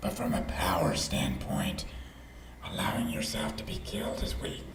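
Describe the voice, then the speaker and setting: Whispering at a moderate pace, a man is heard with audible room echo and noticeable background noise. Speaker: lay preacher. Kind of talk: sermon.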